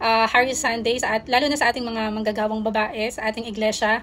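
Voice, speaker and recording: This is a woman speaking. She goes at a fairly quick pace. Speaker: church deaconess.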